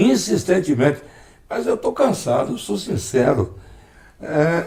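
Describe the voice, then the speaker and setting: Very slowly, a man speaks in a fairly high voice with a dark, mellow tone and vocal fry. His pitch swings very widely. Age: 60s. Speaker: former mayor and broadcaster. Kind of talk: interview. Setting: at home.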